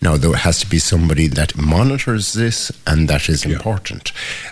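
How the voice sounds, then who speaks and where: A very deep, low-voiced man talks at a moderate pace, his pitch varying in an ordinary way, with noticeable background noise behind him. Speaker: priest. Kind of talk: casual chat. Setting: radio studio.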